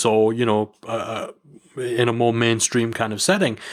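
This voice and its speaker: A man at a fairly slow pace, in a northern English accent. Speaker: podcast host. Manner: playful, self-deprecating.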